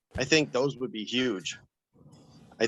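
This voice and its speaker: This is a man speaking at a medium pitch. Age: 50s. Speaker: warehouse worker, live show caller. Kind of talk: casual chat. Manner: halting.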